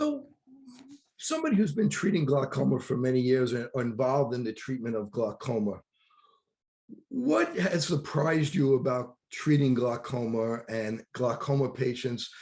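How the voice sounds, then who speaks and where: Talking at a moderate pace in a New York accent, a man uses a medium pitch with ordinary pitch variation. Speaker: optometrist and podcast host. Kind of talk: interview.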